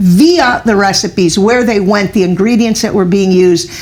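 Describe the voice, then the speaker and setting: A woman speaks with a Cuban-American accent over noticeable background noise. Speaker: author. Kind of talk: interview.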